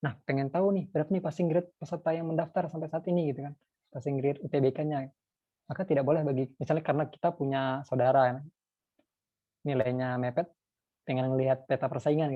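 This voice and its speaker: Intonation stays fairly even in this man's voice. His pitch is fairly high, and he talks very fast. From North Sumatra, Indonesia. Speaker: lecturer. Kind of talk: lecture.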